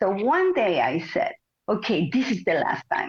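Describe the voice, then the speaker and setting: Here a woman's pitch swings very widely. The sound is dry and close, with no echo. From Mexico. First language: Spanish. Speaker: Pilates teacher and former ballet dancer. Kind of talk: interview.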